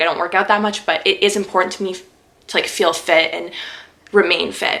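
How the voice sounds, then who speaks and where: Noticeable background noise surrounds a woman's voice. Her intonation is monotone and flat. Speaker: lifestyle YouTuber. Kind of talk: casual Q&A vlog. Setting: sit-down video at home. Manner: fast.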